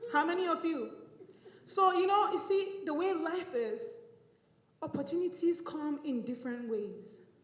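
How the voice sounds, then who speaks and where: A woman at an extremely high pitch, very wide pitch swings, moderate pace and long, frequent pauses, with audible room echo. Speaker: public speaking class graduate. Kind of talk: speech. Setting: room with audience.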